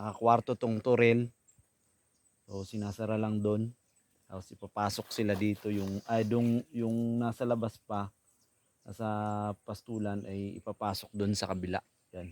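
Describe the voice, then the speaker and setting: Monotone and flat, a man's fairly low voice moves at a fairly slow pace with long, frequent pauses, recorded in a dry, close sound with no echo. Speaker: cattle farmer vlogger. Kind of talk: casual vlog narration. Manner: soft-spoken, lowered voice.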